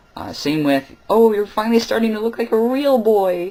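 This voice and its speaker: A man speaks at a moderate pace. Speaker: vlogger. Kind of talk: casual vlog monologue. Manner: hesitant, many fillers.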